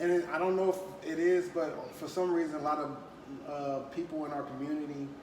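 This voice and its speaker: A man talks at a fairly quick pace in a fairly high pitch with fairly even intonation. Audible room echo and noticeable background noise are present. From Compton, California. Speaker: podcast host. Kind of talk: casual chat.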